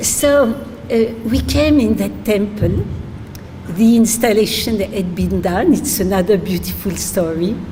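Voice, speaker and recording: With a French accent, a woman talks at a fairly slow pace in a medium pitch with ordinary pitch variation, over noticeable background noise and audible room echo. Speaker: spiritual teacher. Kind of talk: religious talk. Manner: halting, many fillers.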